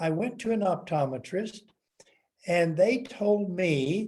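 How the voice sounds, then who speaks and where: Speaking at a very slow pace, this man has a high pitch. His tone is dark and mellow. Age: 70s. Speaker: testimonial speaker. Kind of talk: testimony.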